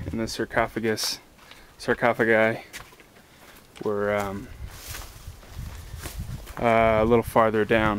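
A man speaks at a fairly slow pace with long, frequent pauses, his voice dry with no echo over light background noise. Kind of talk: casual vlog chat. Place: open country. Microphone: phone near.

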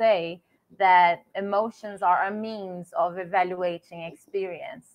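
This woman's voice sits at a medium pitch. Her intonation stays fairly even. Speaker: guest lecturer. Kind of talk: lecture. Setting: video call. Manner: formal. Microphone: video call.

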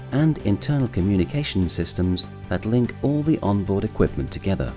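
Clear music plays behind a man with a very deep, low pitch. He speaks at a moderate pace with very wide pitch swings. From British. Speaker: voice actor. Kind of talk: e-learning narration. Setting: home studio. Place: studio.

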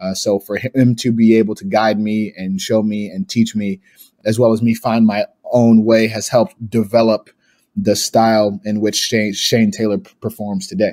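Here a man talks at a moderate pace. His tone is dark and mellow. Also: medium pitch for a man. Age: 30s. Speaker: pro wrestler. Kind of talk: casual chat.

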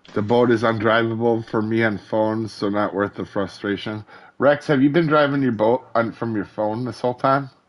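A man speaks at a medium pitch. His pace is moderate and his intonation fairly even. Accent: American. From northern Wisconsin. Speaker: gaming streamer. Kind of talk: casual chat. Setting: live stream with voice chat.

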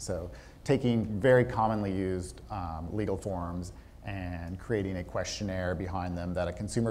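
With fairly even intonation and a slightly mellow tone, the voice moves at a moderate pace. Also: man.

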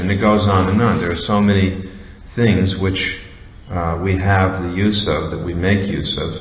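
A man with a very deep, low pitch speaks at a fairly slow pace. His intonation is fairly even, and room echo is audible. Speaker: religious teacher. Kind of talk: lecture. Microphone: podium.

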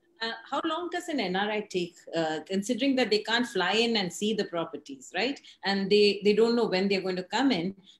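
Very wide pitch swings run through the voice, which carries audible room echo. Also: woman. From India. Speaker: real estate editor and show host; show host. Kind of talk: interview. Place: home room. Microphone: video call.

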